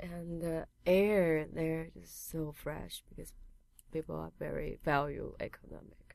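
With a Chinese accent, a woman speaks at a fairly slow pace and fairly low pitch, with ordinary pitch variation. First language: Mandarin Chinese. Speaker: piercer and painter. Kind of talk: casual interview. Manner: hesitant, many fillers.

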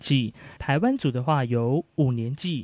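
A plain, everyday voice from a man at a medium pitch and a fairly slow pace, in a dry, close sound with no echo and a quiet background. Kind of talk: explanatory talk.

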